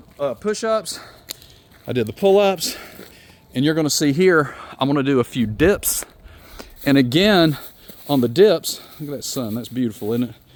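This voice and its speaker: A man's fairly high voice at a moderate pace, with lively intonation. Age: 50s. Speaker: fitness and wellness vlogger. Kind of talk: workout tutorial. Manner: loud; animated.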